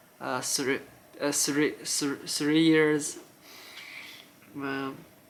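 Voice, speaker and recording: With a Chinese accent, this man talks in a fairly high, bright and sharp voice with flat, monotone intonation. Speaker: YouTuber, former figure skating coach. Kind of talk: casual chat; reading aloud. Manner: halting, many restarts.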